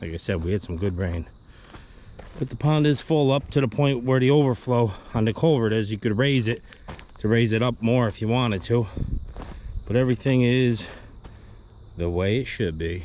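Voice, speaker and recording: A man speaks at a moderate pace with long, frequent pauses and ordinary pitch variation, the sound dry with no echo and light background noise behind him. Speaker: excavation contractor. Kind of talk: casual vlog chat. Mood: relaxed, satisfied. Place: open country. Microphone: phone near.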